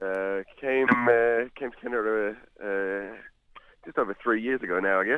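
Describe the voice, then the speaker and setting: Someone with a New Zealand accent speaks fairly slowly in a bright, sharp tone. The intonation stays fairly even. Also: man, medium pitch for a man. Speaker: blues musician. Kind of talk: phone interview. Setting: outdoors. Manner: casual, many fillers. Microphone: phone line, bad cell reception.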